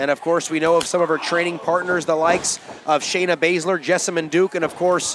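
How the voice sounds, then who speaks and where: A man speaks in an excited, energetic tone at a high pitch. Noticeable background noise runs underneath. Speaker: wrestling commentator. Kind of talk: live wrestling commentary. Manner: excited play-by-play, punchy and fast-paced; projecting, energetic call of the action.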